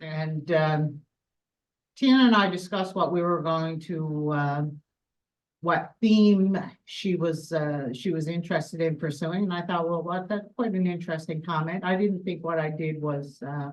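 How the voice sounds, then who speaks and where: Speaking at a moderate pace with a Newfoundland accent, a woman with a fairly low voice shows ordinary pitch variation. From Newfoundland, west coast. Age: 50s. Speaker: world champion powerlifter. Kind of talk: interview.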